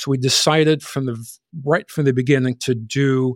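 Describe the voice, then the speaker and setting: A man with an American accent and an unremarkable speaking voice talks at a moderate pace, with medium pitch and fairly even intonation, on a very clean, dry, close recording with no echo and a silent background. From Chicago area, US. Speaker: accounting firm owner. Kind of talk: casual interview chat.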